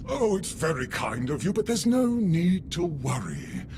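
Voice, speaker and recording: A man's put-on character voice at a fairly slow pace over loud background noise. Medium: video game. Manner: polite, solicitous.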